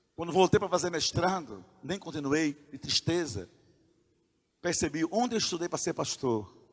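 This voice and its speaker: This man's voice sits fairly high. He talks at a moderate pace with ordinary pitch variation. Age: 60s. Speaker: pastor. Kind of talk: sermon. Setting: church.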